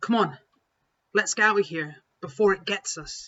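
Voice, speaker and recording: A female-sounding voice at a medium pitch is used as a put-on character voice. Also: moderate pace. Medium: read story.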